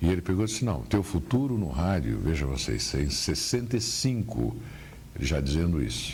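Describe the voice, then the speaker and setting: A man speaks at a moderate pace with a very deep, low pitch. His pitch swings very widely, and room echo is audible. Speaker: veteran radio journalist. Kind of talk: interview about career memories. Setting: at his home.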